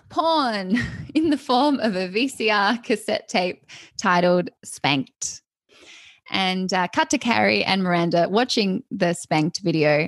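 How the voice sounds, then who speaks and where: In a quiet space with a dry, close sound and no echo, a woman speaks at a very slow pace. Her medium pitch makes very wide swings. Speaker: hairdresser and comedian, podcast host. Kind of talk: casual chat.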